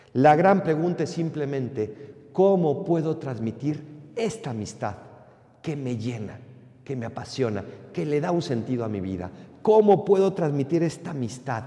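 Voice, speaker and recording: A man with a fairly high pitch and a dark, mellow tone speaks somewhat breathily with very wide pitch swings. His pace is fairly slow, and room echo is audible. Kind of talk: sermon.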